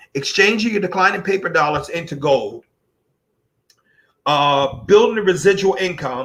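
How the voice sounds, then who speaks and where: The man speaks with ordinary pitch variation. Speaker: gold business presenter. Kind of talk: sales pitch. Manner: halting, repetitive; direct.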